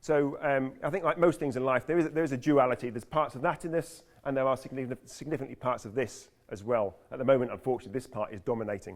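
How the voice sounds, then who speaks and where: A man with a British accent speaks at a very fast pace. His pitch sits in the middle with ordinary variation. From UK. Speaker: climate scientist. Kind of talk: lecture. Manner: halting, with fillers and repeats.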